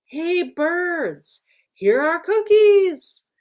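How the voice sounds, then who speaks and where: A woman shouts loudly in a put-on character voice. It is squeaky and extremely high in pitch, with lively intonation. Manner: shouting.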